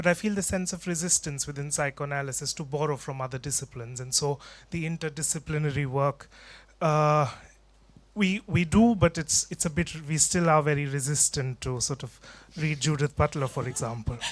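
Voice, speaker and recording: Speech moves at a fairly quick pace on a very clean recording with a silent background. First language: not English. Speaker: audience member, mental health trainee. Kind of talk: audience question at panel. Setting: conference hall with audience.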